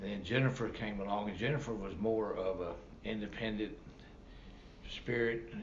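At a moderate pace and with fairly even intonation, the speaker leaves long, frequent pauses over noticeable background noise. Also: man, fairly low pitch for a man. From Kentucky (Loretto). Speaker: retiree telling family history. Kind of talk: interview storytelling. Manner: halting.

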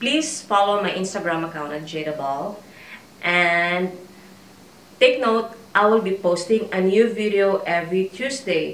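With lively intonation and a fairly slow pace, a woman speaks in long, frequent pauses amid audible room echo. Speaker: fashion vlogger. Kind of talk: try-on haul. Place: home room. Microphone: camera far.

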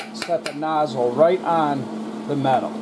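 Audible room echo surrounds a man who speaks at a fairly slow pace with ordinary pitch variation.

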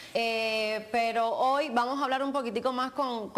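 With fairly even intonation, a woman delivers her words at a fairly slow pace. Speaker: show host. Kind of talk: direct-to-camera show intro. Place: studio. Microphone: lapel.

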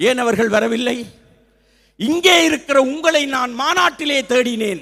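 A man's extremely high-pitched voice, bright and sharp in tone, with ordinary pitch variation. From Sri Lanka, Jaffna. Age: 60s. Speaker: retired teacher and Tamil literature speaker. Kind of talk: public speech. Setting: stage with audience. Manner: formal.

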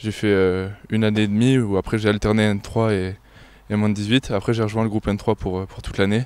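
Delivery comes at a moderate pace with a monotone, flat intonation. The sound is dry, with no echo. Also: man, fairly low pitch for a man. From France, Sarthe (Sablé); France. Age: young. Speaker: young handball player; interviewee. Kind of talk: sports interview; interview answer. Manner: halting. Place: stadium. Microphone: handheld.

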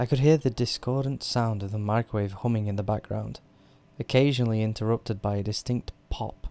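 With pitch that varies in an ordinary way, this person reads aloud in a natural voice.

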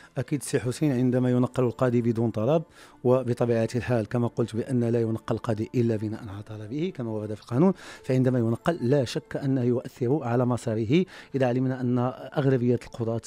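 In a dry sound with no echo, a man speaks at a moderate pace in a dark, mellow tone with fairly even intonation. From Morocco. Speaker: judge; guest, former judge. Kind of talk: radio interview. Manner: formal. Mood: earnest, explanatory. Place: studio. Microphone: studio mic.

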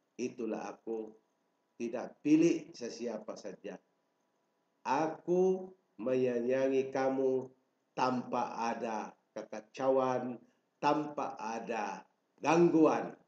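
Audible room echo surrounds a man speaking very slowly at a medium pitch, his dark, mellow tone marked by big swings in loudness and long, frequent pauses. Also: ordinary pitch variation. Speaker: self-proclaimed royal claimant. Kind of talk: political proclamation. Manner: formal. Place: home room. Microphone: webcam.

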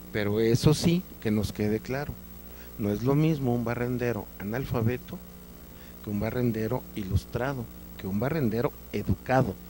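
A man speaks at a moderate pace with a medium pitch and ordinary pitch variation, his dry sound carrying no echo over light background noise. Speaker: invited guest on an educational TV talk show. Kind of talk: interview answer. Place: studio. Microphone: handheld.

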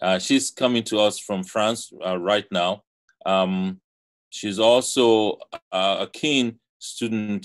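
Against a quiet background, a man speaks at a very slow pace. His voice is fairly low in pitch with fairly even intonation. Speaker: conference moderator and theatre professor; conference moderator, theatre professor. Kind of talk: moderating an online conference. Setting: video call. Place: home room. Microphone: video call.

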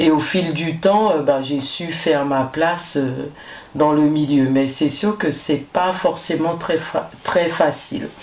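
A woman with a very deep, low pitch speaks at a very slow pace with fairly even intonation. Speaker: firefighter; guest. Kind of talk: interview. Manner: hesitant, many fillers. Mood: calm, reflective. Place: studio.

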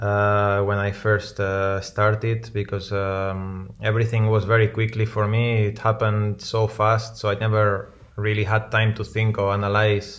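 A man talks at a fairly slow pace. His fairly low voice has monotone, flat intonation. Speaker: remote guest. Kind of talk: interview answer. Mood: relaxed, reflective. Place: home room.

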